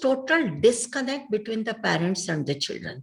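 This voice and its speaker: A woman speaks in a fairly high pitch with a somewhat breathy sound. Her pitch swings very widely. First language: Telugu (speaking Hindi). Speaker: doctor and social worker. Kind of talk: interview.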